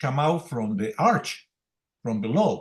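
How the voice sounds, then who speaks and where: Pitch swings very widely in this voice. There is a somewhat breathy quality to it. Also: man. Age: 80s+. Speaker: senior trauma surgeon. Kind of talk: case discussion in an online medical meeting. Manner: halting.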